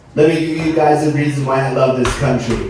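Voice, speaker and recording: A man's voice with noticeable background noise and audible room echo. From Turkey. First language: Turkish. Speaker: stand-up comedian. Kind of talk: stand-up. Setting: stage with audience. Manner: animated.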